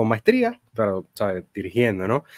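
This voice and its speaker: Against a quiet background, a man talks at a fairly quick pace and medium pitch, with a dry sound and no echo. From Puerto Rico, San Germán; Puerto Rico. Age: 20s. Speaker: theology student and church worker; podcast guest. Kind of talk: interview answers. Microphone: studio mic.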